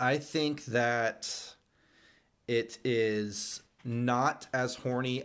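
A man talks. The recording is very clean and the background is silent. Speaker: podcast host. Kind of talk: casual chat. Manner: newscaster-like when addressing audience.

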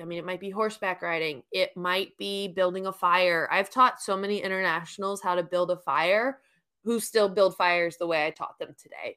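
A woman's medium-pitched voice in an American accent, bright and sharp in tone with fairly even intonation, in a very clean recording with a silent background. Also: moderate pace. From New York. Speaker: camp director. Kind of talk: casual interview.

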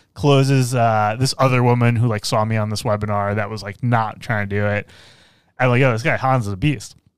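A plain, everyday voice from a man at a medium pitch, with fairly even intonation, on a very clean recording with a silent background. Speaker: business coach and podcast host. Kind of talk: casual interview conversation; show outro. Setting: studio.

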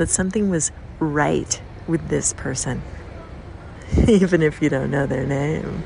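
Amid noticeable background noise, a woman speaks fairly slowly with long, frequent pauses. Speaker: listener. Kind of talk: recorded voice message.

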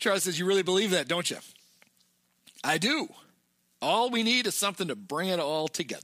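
On a very clean recording with a silent background, a man projects a raised voice at a high pitch, bright and sharp in tone, with lively intonation and long, frequent pauses. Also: fairly quick pace. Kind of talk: casual podcast chat, movie recap.

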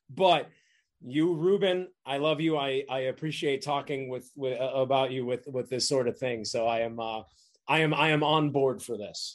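A man with a fairly high pitch and ordinary pitch variation talks at a moderate pace in a normal speaking voice. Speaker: actor. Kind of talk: casual chat.

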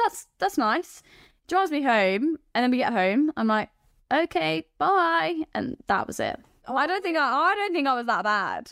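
Recorded dry and close with no echo, a woman speaks at a high pitch and moderate pace. Her pitch swings very widely. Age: 20s. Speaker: dating show contestant. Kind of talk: casual chat. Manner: animated, laughing often.

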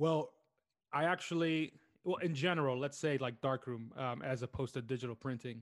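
A man's unremarkable speaking voice of medium pitch in an American accent, fairly quick, with ordinary pitch variation, on a very clean recording with a silent background. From US, New York City. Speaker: film photographer and artist. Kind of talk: casual interview.

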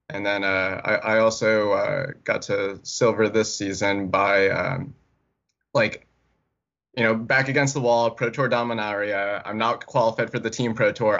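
At a moderate pace, a man at medium pitch uses an ordinary speaking voice with fairly even intonation. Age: 20s. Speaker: competitive card game player. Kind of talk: casual chat.

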